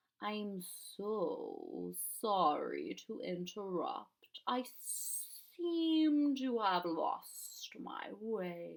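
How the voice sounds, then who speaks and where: A put-on character voice, hissing, at a very slow pace. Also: woman, fairly high pitch for a woman. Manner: polite, apologetic.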